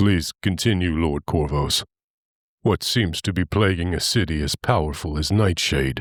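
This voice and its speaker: On a very clean recording with a silent background, a man puts on a character voice with a very deep, low pitch. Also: moderate pace. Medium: read story.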